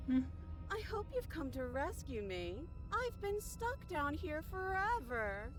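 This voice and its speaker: Loud music plays behind a put-on character voice that moves at a fairly slow pace. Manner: plaintive, unsettling.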